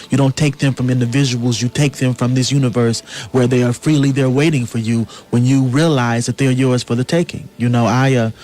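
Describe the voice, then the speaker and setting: A man of medium pitch talks at a fairly quick pace with monotone, flat intonation and very even loudness. Noticeable background noise runs behind him. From US South. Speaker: playwright. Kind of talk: radio interview. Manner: earnest, impassioned.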